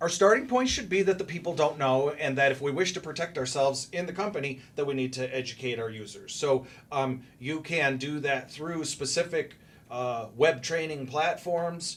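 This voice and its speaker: This is an ordinary speaking voice from a man, fairly high in pitch. He speaks at a moderate pace with ordinary pitch variation. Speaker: cybersecurity guest expert. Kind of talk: podcast interview. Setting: studio.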